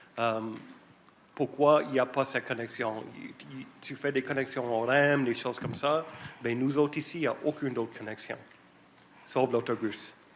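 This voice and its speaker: A man at medium pitch with fairly even intonation, a moderate pace, long, frequent pauses and big swings in loudness. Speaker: citizen asking a question. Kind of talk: public Q&A question. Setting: public meeting hall with audience. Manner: halting.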